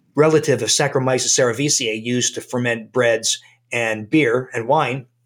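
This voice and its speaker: With fairly even intonation, a man talks in a fairly high pitch, an unremarkable speaking voice. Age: 60s. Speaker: doctor. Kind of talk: interview.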